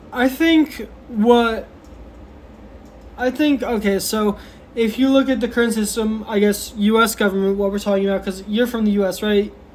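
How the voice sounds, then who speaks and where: In an American accent, the speaker keeps a moderate pace broken by long, frequent pauses. Noticeable background noise runs underneath. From United States. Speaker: debater arguing against the state. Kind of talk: debate. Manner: halting, repetitive.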